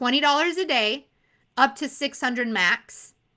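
A woman's raised, projected voice, bright and sharp in tone and animated, at a moderate pace on a very clean recording with a silent background. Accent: American. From Arizona. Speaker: insurance exam coach. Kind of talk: live stream Q&A. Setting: live stream.

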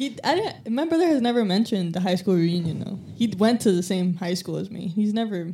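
With an ordinary speaking voice, a woman talks at medium pitch with lively intonation and hardly any pauses. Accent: American. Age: 20s. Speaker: detailing employee. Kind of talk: casual chat. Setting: studio.

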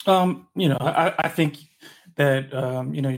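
A man with a fairly high pitch speaks in a somewhat breathy voice with an American accent. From Michigan. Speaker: sports writer. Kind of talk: casual chat.

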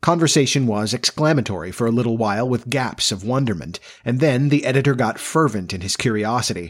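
Someone is doing plain reading aloud here.

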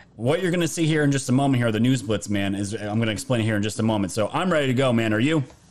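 A man talks at a very fast pace with hardly any pauses, his medium pitch moving with ordinary variation and his loudness very even, over noticeable background noise. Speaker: livestream host. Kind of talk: casual livestream chat about news and politics. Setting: live stream online.

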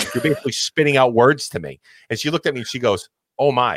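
Recorded with a dry, close sound and no echo, a man with an American accent speaks very fast at a medium pitch. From Massachusetts. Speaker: podcast host. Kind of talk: casual interview chat. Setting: online podcast. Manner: loud.

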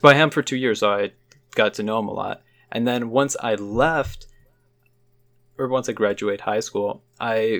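A man with an American accent speaks at medium pitch and a moderate pace, with ordinary pitch variation. The recording is very clean, with a silent background. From Chicago suburbs, US Midwest. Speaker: podcast co-host, art student. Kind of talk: casual chat.

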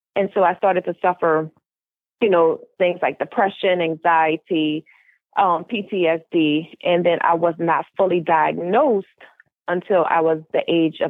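A woman with an American accent and an unremarkable speaking voice talks at a fairly slow pace in a fairly low pitch. Her intonation is fairly even and her loudness very even. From US South, New Orleans, Louisiana. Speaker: mental health advocate and author. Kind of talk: personal testimony in interview.

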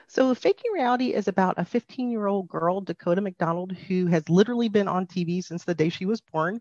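A woman speaks in an ordinary speaking voice with a General American accent, at a moderate pace and medium pitch. Her pitch varies in an ordinary way, and the sound is dry and close with no echo. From Arizona. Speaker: author. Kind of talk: interview.

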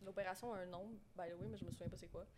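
A woman talks at a fairly quick pace. Her medium-pitched voice keeps a fairly even intonation. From Quebec, moved from southern France as a child in 2001. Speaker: guest with complex borderline personality disorder. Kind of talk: personal testimony in casual chat. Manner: halting.

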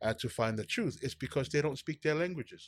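A man speaks with a Samoan accent. His intonation is lively. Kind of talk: casual chat. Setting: studio. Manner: animated.

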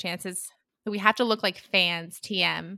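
A woman's voice with vocal fry, dry and close with no echo, in a very clean recording over a silent background. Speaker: podcast host. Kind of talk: casual chat.

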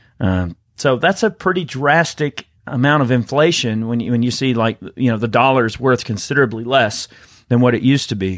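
Speaking at a fairly quick pace, a man with a medium pitch and ordinary pitch variation is heard on a very clean recording with a silent background. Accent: Southern US. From Georgia, US South. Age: 30s. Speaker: podcast host. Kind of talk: casual chat.

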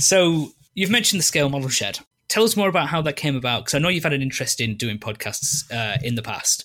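Speaking very fast, a man uses a fairly high pitch, lively intonation and a bright, sharp tone. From UK. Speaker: podcast host. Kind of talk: casual chat. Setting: video call.

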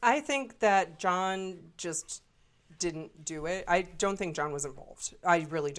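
In a normal speaking voice, a woman with a fairly low pitch talks at a fairly slow pace, her intonation lively and her loudness swinging widely. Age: 30s. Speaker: podcast co-host. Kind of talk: casual chat.

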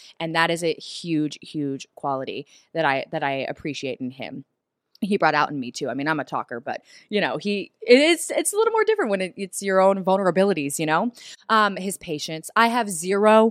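A woman talks in an animated tone at a medium pitch. The recording is very clean with a silent background and a dry, close sound with no echo. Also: lively intonation, fairly quick pace. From US South. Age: 30s. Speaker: TV host. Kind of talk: casual chat.

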